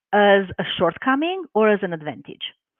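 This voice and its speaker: Speaking at a moderate pace, a woman talks with a Romanian accent. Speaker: life coach and hypnotherapist. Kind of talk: live webinar interview.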